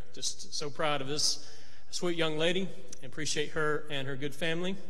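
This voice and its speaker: The speaker is a man with a fairly high pitch. His intonation stays fairly even. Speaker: preacher. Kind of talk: church announcements and devotional. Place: church. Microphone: podium.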